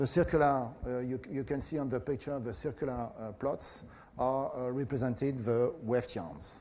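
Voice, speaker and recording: Speaking at a moderate pace, a man with a French accent has a medium pitch, ordinary pitch variation and a dark, mellow tone. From France. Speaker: professor. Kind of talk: lecture. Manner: halting, many fillers.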